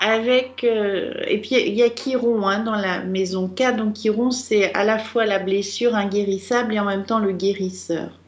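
Over noticeable background noise, a woman with a fairly high pitch speaks at a fairly slow pace, with hardly any pauses and fairly even intonation. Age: 50s. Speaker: astrologer and psychogenealogy reader. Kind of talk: radio consultation. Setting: radio studio.

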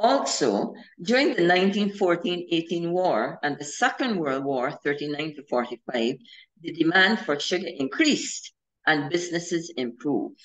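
Very wide pitch swings in a Barbadian accent, over a quiet background. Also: woman, fairly low pitch for a woman, moderate pace. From Barbados. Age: 70s. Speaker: historian; presenter. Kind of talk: history lecture. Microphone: video call.

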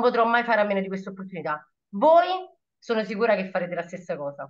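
Her intonation is lively as the woman talks. The background stays quiet. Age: 30s. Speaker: shop assistant and network marketer. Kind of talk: testimony. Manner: animated. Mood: enthusiastic, motivational. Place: home room. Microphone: webcam.

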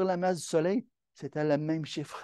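In a Quebec accent, a man speaks fairly slowly, the sound dry and close with no echo. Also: quiet background. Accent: Québécois French. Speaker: amateur astronomy club presenter. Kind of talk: lecture.

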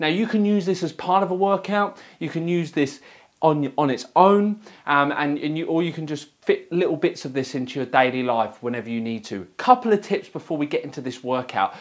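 A man talking at a fairly quick pace over a quiet background. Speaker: fitness coach. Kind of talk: tutorial. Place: gym. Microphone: lapel.

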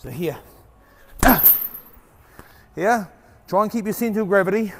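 Male speech at a moderate pace with noticeable background noise. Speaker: boxing coach. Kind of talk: tutorial. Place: gym.

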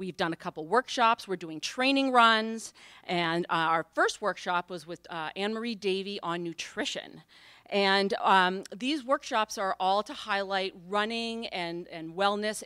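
A woman with a bright, sharp tone speaks at a fairly slow pace with ordinary pitch variation and big swings in loudness, in a dry sound with no echo and a quiet background. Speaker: event host. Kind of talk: event welcome and introduction. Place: hall. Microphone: podium.

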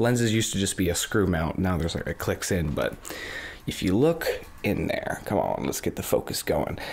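A soft-spoken voice moves at a moderate pace over light background noise. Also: man. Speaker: ASMR creator. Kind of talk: ASMR soft-spoken rambling. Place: home room.

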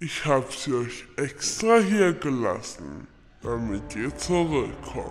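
Pitched fairly high, a man talks at a very slow pace with very wide pitch swings. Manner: menacing, gloating.

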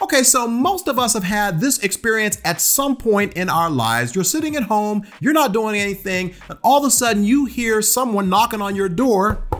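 A man talks at a high pitch with hardly any pauses. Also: ordinary pitch variation, moderate pace. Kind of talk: teaching vlog commentary. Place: home room. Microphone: studio mic.

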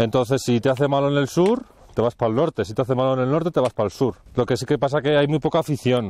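The recording is dry with no echo as a man talks at a very fast pace. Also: ordinary pitch variation. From Valladolid, Spain; Spain. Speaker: mountain hut warden; guide. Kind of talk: interview while hiking. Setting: outdoors in the mountains. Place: open country. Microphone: lapel.

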